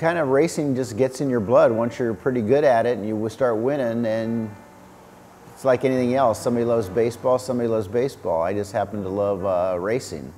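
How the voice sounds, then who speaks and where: Noticeable background noise runs behind a man with a medium-pitched voice. He talks at a fairly quick pace with ordinary pitch variation. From Southern California. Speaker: father of a BMX rider, former racer. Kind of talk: interview testimony.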